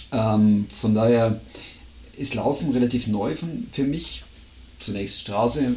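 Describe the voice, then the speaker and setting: A man talks at a very slow pace, with long, frequent pauses and noticeable background noise. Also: medium pitch for a man, ordinary pitch variation. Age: 50s. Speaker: podcast co-host, amateur trail runner. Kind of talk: casual chat.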